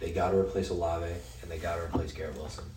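With a Western US accent, a man talks at a fairly quick pace in a very deep, low pitch. Audible room echo and noticeable background noise fill the recording. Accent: American, western US. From Utah. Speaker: sports podcast co-host. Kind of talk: casual chat.

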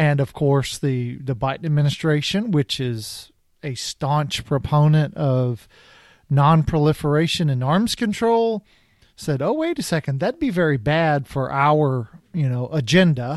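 In an unremarkable speaking voice, a man talks at a fairly slow pace with a fairly high pitch and lively intonation against a quiet background. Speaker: podcast host. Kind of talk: casual expert discussion.

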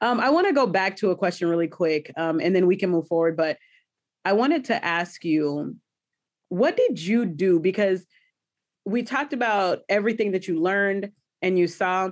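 Over a quiet background, a woman speaks at a moderate pace in a medium pitch, with ordinary pitch variation and very even loudness. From US South. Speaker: podcast host. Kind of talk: casual interview chat. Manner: animated.

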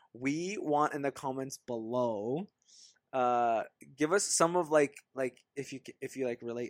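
Fairly high-pitched male voice with ordinary pitch variation, very clean recording over a silent background. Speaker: podcast co-host. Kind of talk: casual chat. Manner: quiet.

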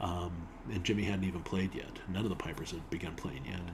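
A man with an American accent speaks at a fairly quick pace in a very deep, low pitch. His intonation is fairly even, and there is audible room echo. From Utah. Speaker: bagpiper and filmmaker. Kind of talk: casual chat. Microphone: built-in laptop mic.

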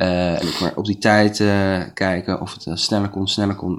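Heard in a very clean recording with a silent background, a man with a fairly low pitch speaks at a moderate pace in a monotone, flat intonation. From Netherlands, Leiden. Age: 20s. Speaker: hospitality student and cook. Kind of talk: interview. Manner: hesitant, many fillers.

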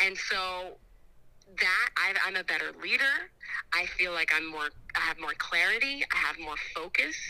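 The voice has a bright, sharp tone and lively intonation, moving at a moderate pace with long, frequent pauses. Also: woman, medium pitch for a woman. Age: 30s. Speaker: fitness class instructor and church friend. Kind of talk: casual chat. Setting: outdoors.

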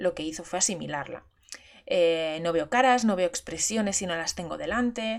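A woman with a fairly low pitch, ordinary pitch variation and vocal fry is speaking. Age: 30s. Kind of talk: personal monologue. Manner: halting.

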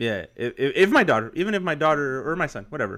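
A man talks fairly quickly with very wide pitch swings. The recording is very clean, with a silent background. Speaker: podcast host. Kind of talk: casual chat.

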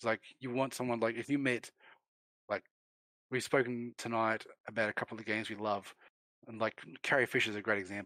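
A man of medium pitch and a bright, sharp tone speaks very fast in a monotone, flat delivery broken by long, frequent pauses, recorded dry and close with no echo. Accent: Australian. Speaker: gaming industry figure. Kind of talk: casual chat.

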